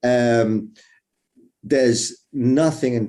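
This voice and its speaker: A dark, mellow voice in an English accent, with ordinary pitch variation, in a very clean recording with a silent background. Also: man. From England. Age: 60s. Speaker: conference moderator. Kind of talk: panel discussion.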